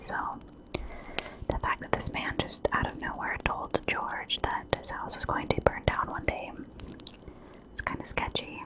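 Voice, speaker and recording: A woman whispers over noticeable background noise. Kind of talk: ASMR true crime storytelling. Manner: whispered, soft-spoken.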